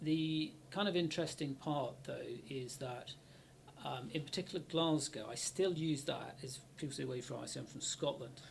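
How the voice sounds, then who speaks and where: Man at a fairly high pitch with vocal fry, moderate pace and ordinary pitch variation. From Bristol, western England. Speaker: university IT director, ex-military. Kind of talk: casual interview chat.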